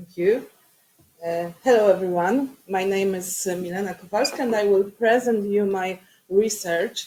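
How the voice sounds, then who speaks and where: A woman with a non-native accent speaks at a moderate pace with ordinary pitch variation. Her loudness swings widely. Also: medium pitch for a woman. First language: Polish. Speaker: academic researcher and city councillor. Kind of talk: conference presentation. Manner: halting.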